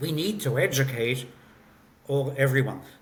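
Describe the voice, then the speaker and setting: A somewhat breathy voice at a moderate pace, with audible room echo. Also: man. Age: 60s. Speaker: company founder and CEO. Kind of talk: interview. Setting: remote call.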